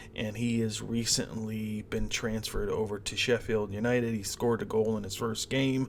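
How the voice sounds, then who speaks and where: A man with a Midwestern accent speaks at a medium pitch. His delivery is a flat monotone at a fairly slow pace. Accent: American Midwest. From US Midwest, Cleveland, Ohio. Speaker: sports betting host. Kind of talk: sports betting preview monologue. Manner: casual with many fillers.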